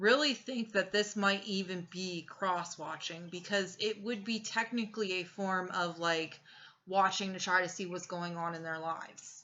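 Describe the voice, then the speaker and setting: A woman with an ordinary speaking voice talks at a moderate pace. Her pitch is medium and her intonation fairly even. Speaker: tarot reader. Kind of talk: tarot reading. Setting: home recording with incense.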